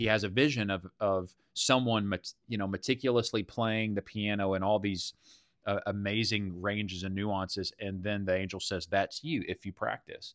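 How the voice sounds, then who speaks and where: In a Texan accent, a man speaks at a moderate pace with a fairly low pitch and fairly even intonation. The sound is dry and close with no echo, in a very clean recording with a silent background. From Texas. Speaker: church leader, podcast host. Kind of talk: casual chat.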